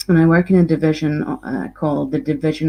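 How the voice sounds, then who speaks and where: A Scottish accent on a woman's very deep, low voice with a dark, mellow tone. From Scotland. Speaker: games designer and university lecturer. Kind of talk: lecture.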